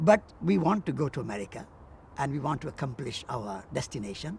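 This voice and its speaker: Vocal fry marks a man's voice as he talks at a moderate pace. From India. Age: 70s. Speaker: peace activist and author. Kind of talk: interview.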